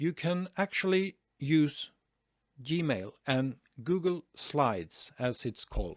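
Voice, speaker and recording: Speaking very slowly with a Norwegian accent, a man uses lively intonation at a fairly high pitch in a very clean, dry, close recording with no echo and a silent background. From Norway. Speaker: online marketing youtuber. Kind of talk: tutorial. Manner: hesitant, many fillers.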